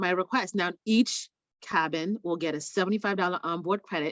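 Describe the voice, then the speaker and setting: In a plain, everyday voice, a woman talks at a moderate pace and medium pitch with ordinary pitch variation. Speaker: travel sales trainer. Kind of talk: tutorial. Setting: video call.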